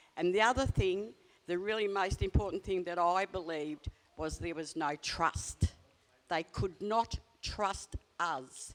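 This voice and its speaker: Her pitch varies in an ordinary way as a woman talks at a moderate pace in an Australian accent. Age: 70s. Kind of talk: panel discussion.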